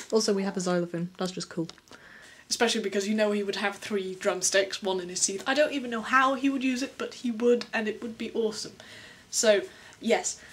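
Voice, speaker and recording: Speaking fairly quickly in an English accent, a woman uses a fairly high pitch with ordinary variation. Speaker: vlogger, animation artist. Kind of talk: casual vlog, answering viewer questions. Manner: animated; fast.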